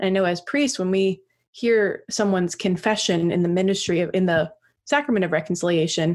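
At a moderate pace, a woman speaks in a plain, everyday voice at medium pitch with ordinary pitch variation. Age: 30s. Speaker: priest and podcast co-host. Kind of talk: casual chat. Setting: remote internet recording.

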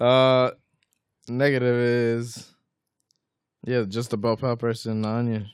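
At a very slow pace with long, frequent pauses, a man of medium pitch speaks in a monotone, flat intonation. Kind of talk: casual conversation.

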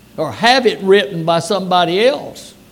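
A man with a high pitch speaks in a Louisiana accent. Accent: Southern US (Louisiana). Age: 90s. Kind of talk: sermon. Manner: folksy, conversational.

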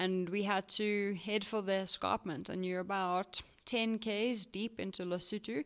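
A woman's unremarkable speaking voice at medium pitch, fairly slow with hardly any pauses and fairly even intonation, on a very clean recording with a silent background. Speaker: podcast co-host and mountain runner. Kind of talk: casual chat. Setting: campsite.

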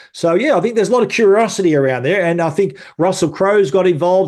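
A man with an Australian accent talks at a very fast pace. His pitch varies in an ordinary way, and the background is quiet. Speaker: tech journalist. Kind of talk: casual chat.

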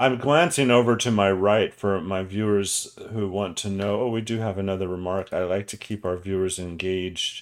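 In a plain, everyday voice, a man speaks at a fairly low pitch and moderate pace with fairly even intonation and hardly any pauses. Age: 60s. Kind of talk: live interactive panel show. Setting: live online broadcast.

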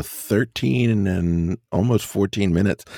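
A plain, everyday voice moves at a fairly slow pace with ordinary pitch variation. The recording is very clean with a silent background, its sound dry and close with no echo. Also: man. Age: 40s. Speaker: wrestling podcast co-host. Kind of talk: casual chat. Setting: studio.

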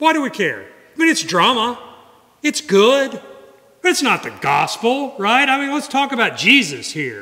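Raised and projected, a man's voice sits at an extremely high pitch and moves at a fairly slow pace. Room echo is audible. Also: ordinary pitch variation. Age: 50s. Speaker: guest preacher. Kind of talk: sermon. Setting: church. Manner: conversational.

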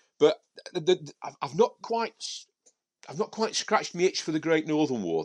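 With a Yorkshire accent, a man talks at a fairly quick pace in a dry, close sound with no echo against a quiet background. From Yorkshire, Sheffield area. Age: 50s. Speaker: professional miniature painter and author. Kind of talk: casual chat.

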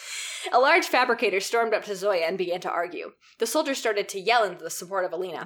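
Someone is reading aloud in a natural voice, the intonation lively.

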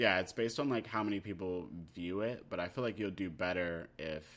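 A man with an American accent, very deep and low in pitch, at a moderate pace with ordinary pitch variation. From US, military family (Germany, South Carolina, Texas, Maryland). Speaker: cartoonist and graphic novelist. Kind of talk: casual chat.

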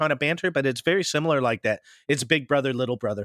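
With an American accent and a bright, sharp tone, a man speaks with ordinary pitch variation in a very clean recording with a silent background and a dry, close sound with no echo. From US Pacific Northwest, later Midwest. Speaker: podcast host. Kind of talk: casual interview chat.

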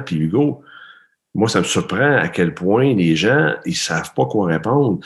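Against a quiet background, a man talks at a moderate pace with very wide swings in pitch. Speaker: performance coach, interviewer. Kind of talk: interview. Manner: animated.

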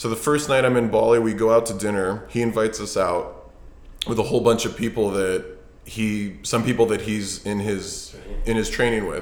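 In a room with audible echo, a man speaks at a moderate pace and medium pitch with fairly even intonation. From US West Coast, Los Angeles. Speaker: fitness coach and investor. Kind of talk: casual interview. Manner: halting, many fillers.

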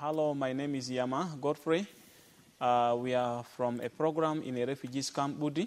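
In a South Sudanese accent, a man speaks at a moderate pace with a fairly high pitch and fairly even intonation. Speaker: pastor and instructor. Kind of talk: testimony. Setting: outdoors by a river.

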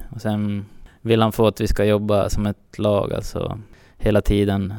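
In a very clean recording with a silent background, a man with a fairly low voice speaks at a moderate pace in a monotone, flat intonation. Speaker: football team captain. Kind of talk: interview.

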